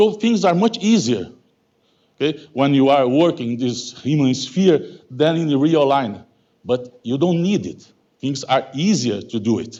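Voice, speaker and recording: This man talks at a fairly slow pace in a dark, mellow tone, his fairly high pitch making very wide swings. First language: Portuguese. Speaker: mathematical physics professor. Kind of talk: lecture. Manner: halting, many fillers.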